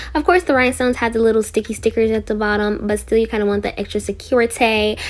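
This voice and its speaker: A woman's fairly high, animated voice at a very fast pace, with ordinary pitch variation. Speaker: beauty vlogger. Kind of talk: makeup tutorial.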